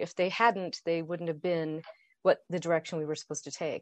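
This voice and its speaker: An unremarkable speaking voice at a fairly quick pace, with a dry, close sound with no echo and a quiet background. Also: woman. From Idaho, US. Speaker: author and entrepreneur. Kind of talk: interview.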